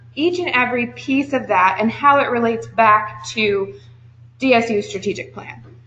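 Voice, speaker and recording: There is noticeable background noise as a woman talks at a moderate pace. Her fairly high voice has lively intonation. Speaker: university assessment staff presenter. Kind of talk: workshop presentation. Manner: loud.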